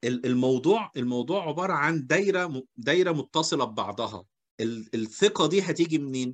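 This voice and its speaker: Speaking at a fairly slow pace, a man uses lively intonation at a fairly high pitch. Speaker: HR seminar host. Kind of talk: seminar discussion.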